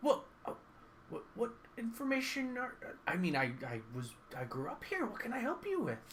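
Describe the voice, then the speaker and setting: A man performs a put-on character voice at an extremely high pitch and a moderate pace. Long, frequent pauses break it up, and clear background noise runs underneath. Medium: actual play. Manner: rambling, hesitant, stammering.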